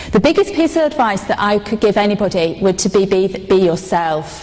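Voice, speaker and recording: A woman with a northern English accent, medium pitch and lively intonation at a fairly slow pace, over noticeable background noise. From northern England. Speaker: corporate speaker. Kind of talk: conference speech. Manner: halting.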